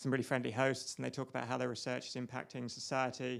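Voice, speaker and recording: A man with a British accent talks at a very fast pace. His pitch sits at a medium level. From UK. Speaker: biomedical researcher. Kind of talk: interview. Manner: animated; halting.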